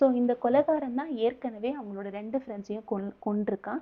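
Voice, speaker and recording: A woman's plain, everyday voice with ordinary pitch variation. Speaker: movie recap narrator. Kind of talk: movie plot recap narration. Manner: casual, conversational.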